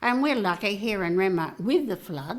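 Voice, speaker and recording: Recorded very cleanly against a silent background, a woman speaks. Her voice is medium in pitch, with an Australian accent. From South Australia, Riverland. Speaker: community volunteer. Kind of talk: interview answer.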